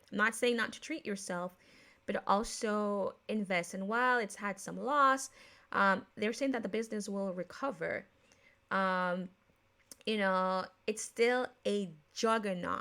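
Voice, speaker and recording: A woman of medium pitch with a bright, sharp tone speaks at a fairly slow pace with ordinary pitch variation and long, frequent pauses in a very clean recording with a silent background. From Jamaica. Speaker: podcast host. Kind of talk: casual podcast talk. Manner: casual, with many fillers and self-corrections.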